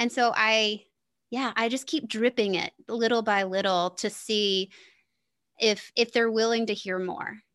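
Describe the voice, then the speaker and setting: A woman's fairly high pitch and fairly even intonation at a fairly slow pace, with a quiet background. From US South. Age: 40s. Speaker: podcast host and business coach. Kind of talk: casual interview chat.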